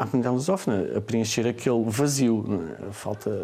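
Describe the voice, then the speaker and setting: His voice sits at a medium pitch, and the man's pitch varies in an ordinary way. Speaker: online children's bookseller. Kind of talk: interview. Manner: hesitant, many fillers.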